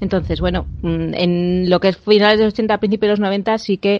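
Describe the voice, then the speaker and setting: A woman's voice with monotone, flat intonation. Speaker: podcast host. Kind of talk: casual chat. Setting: remote recording.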